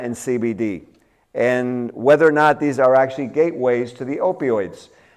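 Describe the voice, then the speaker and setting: A man with a Cuban-American accent talks at a fairly slow pace. The background is quiet. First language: Spanish. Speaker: dentist. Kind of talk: lecture. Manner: halting.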